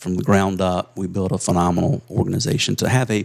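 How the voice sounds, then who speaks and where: A man with a South Carolina accent talks very fast in a very deep, low voice with ordinary pitch variation. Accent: Southern US (South Carolina). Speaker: insurance agency leader. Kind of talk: interview storytelling.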